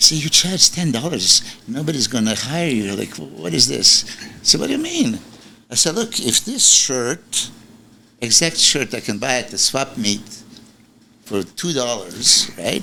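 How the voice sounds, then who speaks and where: Amid noticeable background noise, a man at medium pitch talks at a fairly slow pace, his pitch swinging very widely between long, frequent pauses. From Serbia. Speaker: bodybuilding coach. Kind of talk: casual interview chat.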